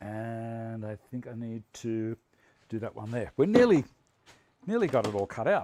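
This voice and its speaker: With an Australian accent, the speaker has a dark, mellow tone and fairly even intonation at a moderate pace, with long, frequent pauses. Loudness swings widely, and the sound is dry and close with no echo. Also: man, medium pitch for a man. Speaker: woodworking livestream host. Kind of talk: live workshop demonstration with chat.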